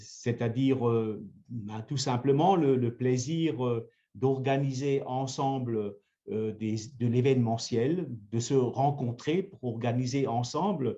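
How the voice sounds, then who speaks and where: At a very slow pace, a man speaks in a medium pitch with ordinary pitch variation and a dark, mellow tone. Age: 70s. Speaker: mayor. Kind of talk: interview. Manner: hesitant, many fillers.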